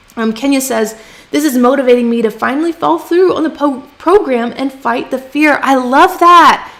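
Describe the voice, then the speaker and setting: A woman speaks in a high pitch with ordinary pitch variation. Noticeable background noise runs behind her. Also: moderate pace. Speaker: freelance writing coach. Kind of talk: livestream teaching with chat Q&A. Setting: live stream from home. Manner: casual, chatty.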